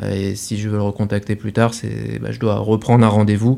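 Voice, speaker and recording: The voice belongs to a man, fairly low in pitch. His tone is dark and mellow, at a moderate pace. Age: 30s. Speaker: startup founder and CEO. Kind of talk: interview.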